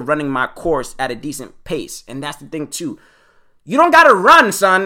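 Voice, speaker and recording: This man talks in an animated tone. The recording is very clean, and the background silent. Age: 20s. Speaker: podcast host. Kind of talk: casual monologue podcast. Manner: fast talker; casual, animated.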